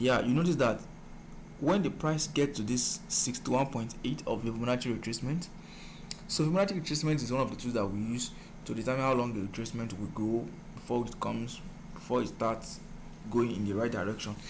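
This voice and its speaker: Audible room echo surrounds a man at medium pitch. He speaks at a fairly quick pace with lively intonation. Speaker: forex trading mentor. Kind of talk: tutorial.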